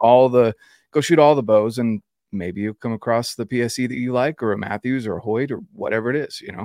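The voice has a dark, mellow tone and an American accent, moving at a fairly quick pace with ordinary pitch variation. The sound is dry and close with no echo, in a very clean recording with a silent background. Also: man, medium pitch for a man. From North Carolina, Fayetteville. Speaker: hunting and outdoors influencer. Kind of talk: casual interview.

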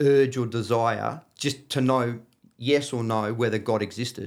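Fairly even intonation marks a man speaking in an Australian accent. His pace is very slow. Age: 50s. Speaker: floor and wall tiler. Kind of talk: casual chat. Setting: studio.

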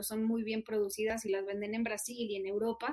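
Speaking with a northern Mexican accent, a woman with a fairly high pitch keeps a moderate pace. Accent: northern Mexican (Monterrey). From Mexico, Monterrey. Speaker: nonprofit country manager. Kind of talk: interview.

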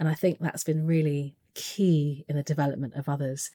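A woman with a British accent speaks in a very deep, low voice of dark, mellow tone, recorded with a dry, close sound and no echo. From England. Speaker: leadership coach. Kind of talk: interview. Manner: animated.

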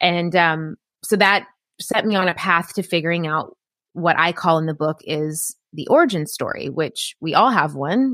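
With an American accent, a woman speaks at a moderate pace in a fairly low, bright, sharp voice with ordinary pitch variation, recorded very cleanly with a silent background and a dry, close sound with no echo. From US South, rural Appalachian Tennessee. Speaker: business coach and author. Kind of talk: interview.

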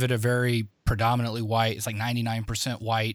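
In a very clean recording with a silent background, a man with an unremarkable speaking voice talks at a fairly quick pace and medium pitch. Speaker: podcast co-host. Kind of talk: podcast interview.

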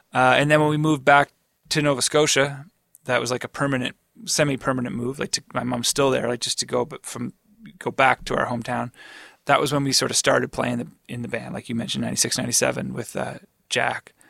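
Bright and sharp in tone, a man talks at a fairly quick pace and medium pitch with monotone, flat intonation in a dry, close sound with no echo. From Atlantic Canada. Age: 40s. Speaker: rock guitarist. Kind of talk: casual interview. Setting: studio.

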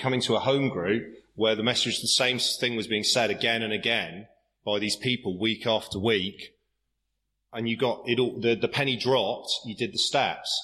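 A bright, sharp tone comes at a fairly quick pace with ordinary pitch variation. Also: man. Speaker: AA meeting speaker. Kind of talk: recovery talk at meeting. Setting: AA meeting with audience.

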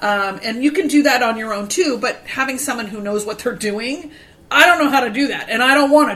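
Her voice is high pitched, with lively intonation and big swings in loudness. A woman speaks over noticeable background noise. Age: 50s. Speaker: podcast host and vintage store owner. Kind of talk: casual chat.

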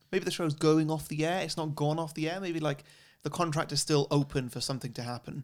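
On a very clean recording with a silent background, a man speaks very fast with a fairly high pitch and fairly even intonation. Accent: English. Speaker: podcast host. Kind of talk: casual chat. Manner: expressive.

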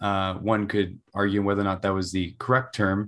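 The recording is very clean, with a silent background. A man speaks at a fairly low pitch. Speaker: student podcast host. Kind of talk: interview. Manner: halting.

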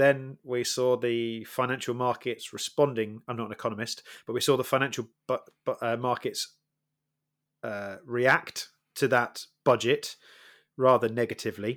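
Speaking at a moderate pace, a man with a Welsh accent keeps a monotone, flat intonation. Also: medium pitch for a man. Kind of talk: casual chat.

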